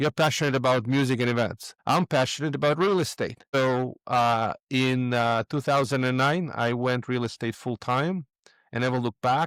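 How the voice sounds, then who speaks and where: A man speaks with a Russian accent at a moderate pace, with ordinary pitch variation. The recording is very clean with a silent background and a dry, close sound with no echo. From Moldova. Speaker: real estate investor. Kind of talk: podcast interview.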